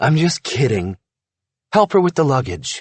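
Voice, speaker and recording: Putting on a raspy character voice, a man speaks at a fairly high pitch and moderate pace with very wide pitch swings. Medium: read story.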